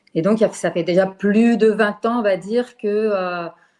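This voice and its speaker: This speaker is a woman. Her intonation stays fairly even. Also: quiet background. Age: 60s. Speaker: retired teacher. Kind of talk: testimony. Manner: halting.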